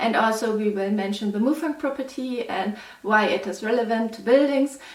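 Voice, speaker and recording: Recorded with noticeable background noise and audible room echo, a woman speaks with a German accent. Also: fairly high pitch for a woman, ordinary pitch variation, moderate pace. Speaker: mathematics PhD student, educational youtuber. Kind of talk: lecture.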